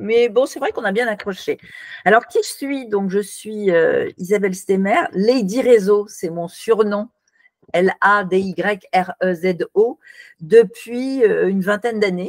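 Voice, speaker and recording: At a very slow pace, the voice comes through with a dry, close sound and no echo. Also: woman, medium pitch for a woman, ordinary pitch variation. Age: 60s. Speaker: networking consultant and author. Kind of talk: interview.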